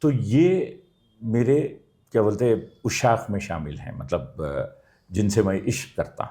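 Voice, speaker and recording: A man of medium pitch speaks in a dark, mellow tone with vocal fry, very wide pitch swings and big swings in loudness. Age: 60s. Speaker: theatre actor and architect. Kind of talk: interview.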